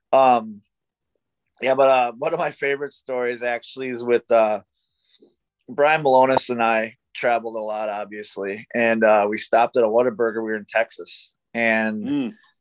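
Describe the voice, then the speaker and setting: At a moderate pace and medium pitch, a man talks with fairly even intonation, the sound dry with no echo against a quiet background. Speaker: professional wrestler. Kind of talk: casual interview chat. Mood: relaxed, amused. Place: home room. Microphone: video call.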